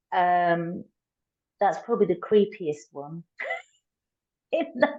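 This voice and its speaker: Speaking at a very slow pace, a woman with a Tamil accent has a medium-pitched, dark, mellow tone and lively intonation. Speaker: coach. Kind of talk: casual chat.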